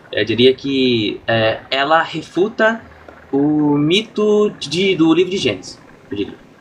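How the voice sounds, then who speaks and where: With lively intonation, a man speaks at a fairly high pitch through noticeable background noise. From Brazil, interior of São Paulo (São Carlos). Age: 20s. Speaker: streamer. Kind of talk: casual chat. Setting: live stream.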